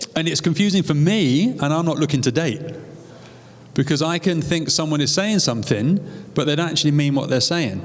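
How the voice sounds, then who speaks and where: A man talks fairly quickly, his pitch fairly high and his pitch variation ordinary. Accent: British. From UK. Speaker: co-host's husband. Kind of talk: live seminar talk.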